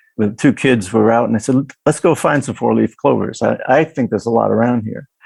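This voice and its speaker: A man with an American accent talks at a fairly quick pace and a medium pitch, with vocal fry and ordinary pitch variation. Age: 60s. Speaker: historic restoration contractor. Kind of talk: casual interview chat. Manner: halting.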